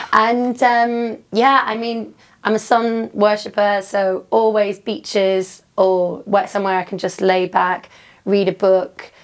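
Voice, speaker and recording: A woman talks at a very slow pace with fairly even intonation. The recording is very clean, with a silent background. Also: medium pitch for a woman. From northern England, Newcastle. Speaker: DJ and fitness trainer. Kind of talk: interview. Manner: casual, filler-heavy.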